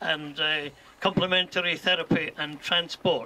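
A man talks at a moderate pace with fairly even intonation, light background noise behind him. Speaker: charity event host. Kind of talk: formal speech. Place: garden. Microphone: camera far.

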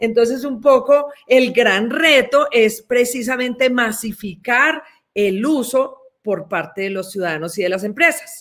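Against a quiet background, a woman with a Colombian accent speaks at a fairly slow pace in a high voice with lively intonation. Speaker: development bank executive, systems engineer. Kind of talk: interview answers. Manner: frequent hesitations, many fillers. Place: office. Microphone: webcam.

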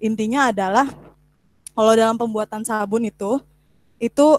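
Recorded against a quiet background with a dry sound and no echo, a woman speaks at a moderate pace. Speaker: presenter. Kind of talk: informal online talk, tutorial. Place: home room.

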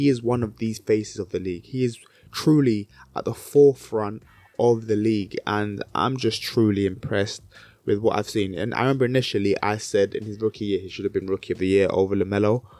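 Dry and free of echo, a man with a British accent talks at a fairly quick pace in a dark, mellow tone, his fairly low pitch held in fairly even intonation. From Britain. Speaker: basketball YouTuber. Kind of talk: solo commentary video. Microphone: handheld.

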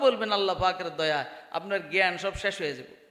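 A man with a high pitch projects a raised voice, his tone bright, sharp and animated. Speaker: Islamic preacher. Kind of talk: sermon. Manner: animated, rhetorical questions to audience.

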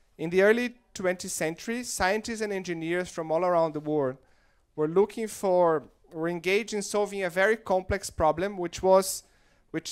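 Against a quiet background, a man talks with a Portuguese accent. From Brazil. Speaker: investment firm director and event founder. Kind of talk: opening speech. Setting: stage with audience. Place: hall. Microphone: handheld.

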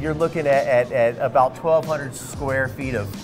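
Clear music plays in the background. A man speaks at a moderate pace. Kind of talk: interview answer. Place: bar. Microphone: lapel.

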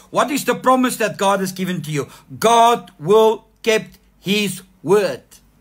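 Very slowly, a man speaks with a warm tone, a high pitch and ordinary pitch variation. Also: quiet background. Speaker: pastor. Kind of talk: sermon. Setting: online church livestream. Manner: animated, fervent, calling for 'amen' responses; warm, exhortative. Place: home room. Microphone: phone near.

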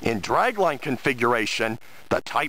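The voice shows vocal fry and very wide pitch swings at a moderate pace. The sound is dry with no echo. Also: man. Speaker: tour guide. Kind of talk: guided tour commentary. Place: open country. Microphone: phone near.

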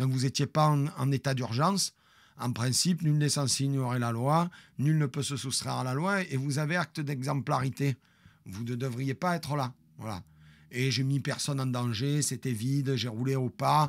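Over a quiet background, a man talks at a moderate pace. His pitch varies in an ordinary way. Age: 50s. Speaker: streamer storyteller. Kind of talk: storytelling to live stream audience. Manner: animated. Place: home room. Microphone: studio mic.

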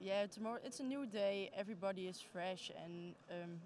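A woman with a Dutch accent speaks with fairly even intonation in a dry sound with no echo, over light background noise. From Netherlands. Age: 20s. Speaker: junior judo athlete. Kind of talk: post-competition interview. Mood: calm, mildly pleased. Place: hall. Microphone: handheld.

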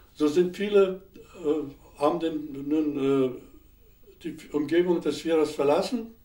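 Against a quiet background, a man with a fairly high pitch and a dark, mellow tone talks with ordinary pitch variation amid audible room echo. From Upper Silesia. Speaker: war veteran, historical eyewitness. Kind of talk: interview answer. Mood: calm, reflective recollection. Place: studio.

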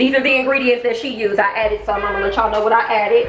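Music plays in the background as a woman speaks. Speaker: home cooking vlogger. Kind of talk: casual vlog chat. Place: kitchen. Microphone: camera far.

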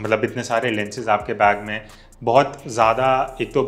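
A man speaks at a moderate pace. His intonation is monotone and flat. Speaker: photography educator. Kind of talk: tutorial. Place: studio. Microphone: lapel.

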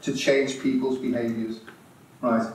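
Audible room echo surrounds a man with a Liverpool accent talking at a moderate pace. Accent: Scouse (Liverpool). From Merseyside, England; England. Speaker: integrative health consultant and speaker; conference speaker. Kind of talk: conference talk to live audience; lecture. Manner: animated. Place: hall.

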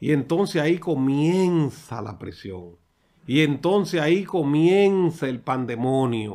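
Over a quiet background, a man with a dark, mellow tone speaks at a very slow pace, with lively intonation and big swings in loudness. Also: fairly high pitch for a man. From Dominican Republic. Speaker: political commentator. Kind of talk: political commentary monologue. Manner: animated. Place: studio. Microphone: studio mic.

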